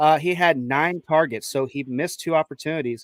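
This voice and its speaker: The recording is dry and close with no echo as a man with a Chicago accent speaks at a fairly high pitch with ordinary pitch variation. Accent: Chicago accent, affects pronunciation of D's. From Chicago, US Midwest. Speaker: sports podcast host. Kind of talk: casual sports talk with stats. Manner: stumbles over names.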